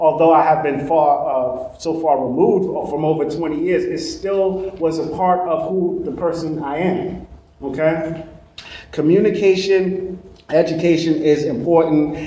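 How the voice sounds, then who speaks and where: A man with a Brooklyn accent speaks at a fairly high pitch with fairly even intonation. Noticeable background noise and audible room echo fill the recording. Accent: Brooklyn New York. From Brooklyn, New York. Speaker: trainer. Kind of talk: lecture.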